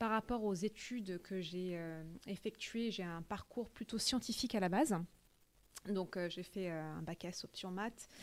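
A woman at a very slow pace, medium in pitch, with ordinary pitch variation. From France (Paris) with childhood in the US. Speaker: tech sales manager. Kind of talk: interview. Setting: company office.

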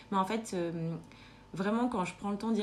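There is audible room echo around a woman speaking at a medium pitch. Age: 20s. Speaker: nurse. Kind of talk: casual chat. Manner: halting.

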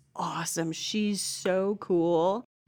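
This is a woman's voice. Her accent is American. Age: 40s. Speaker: former student. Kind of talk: casual chat.

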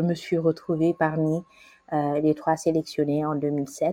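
Very slow and fairly low in pitch, a woman's voice has a dark, mellow tone and a dry, close sound with no echo. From Côte d'Ivoire (Abidjan), Senegalese family. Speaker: young professional, podcast guest. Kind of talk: interview, life story. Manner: hesitant, many fillers and repetitions.

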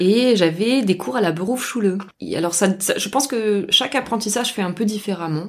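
Lively intonation from a woman at medium pitch, moving at a moderate pace over noticeable background noise. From southern France (Albi, near Toulouse). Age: 30s. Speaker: former researcher turned horticulture apprentice. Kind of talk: interview conversation. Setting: in person at a table, at host's home.

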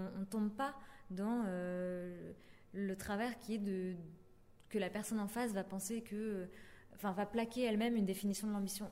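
At a fairly quick pace, a woman speaks with medium pitch and ordinary pitch variation. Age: 20s. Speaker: podcaster. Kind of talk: interview monologue.

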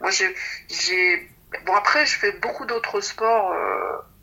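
Noticeable background noise sits behind the recording. A woman talks at a fairly slow pace. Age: 60s. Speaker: doctor and amateur pole dancer. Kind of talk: interview testimony.

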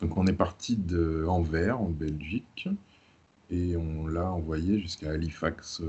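Very slowly and with fairly even intonation, a man speaks in a very deep, low, somewhat breathy voice. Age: 30s. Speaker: software developer and traveler. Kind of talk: casual interview.

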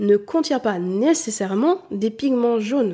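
This woman has a dark, mellow tone and speaks at a fairly slow pace. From southern France. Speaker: beauty and style coach, podcast host. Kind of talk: solo educational podcast monologue.

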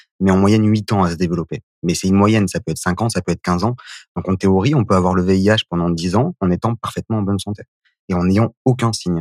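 The intonation is fairly even. The sound is dry and close with no echo, on a very clean recording with a silent background. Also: man. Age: 30s. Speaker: HIV activist, association founder. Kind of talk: testimony.

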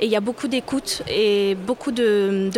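A woman with a fairly high pitch speaks in a monotone, flat intonation amid noticeable background noise. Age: 30s. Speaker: sales and marketing manager. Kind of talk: interview. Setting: live at a trade fair.

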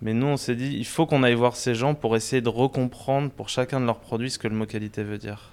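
Man's medium-pitched voice at a fairly quick pace with fairly even intonation and hardly any pauses. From Paris area, France. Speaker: restaurant owner. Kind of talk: interview. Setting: in his restaurant. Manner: halting, many repetitions and fillers.

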